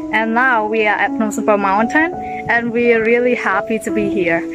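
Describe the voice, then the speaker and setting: A woman at a moderate pace, dry sound with no echo, and clear music in the background. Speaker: travel vlogger. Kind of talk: casual vlog chat. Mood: cheerful, excited. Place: forest. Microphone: phone near.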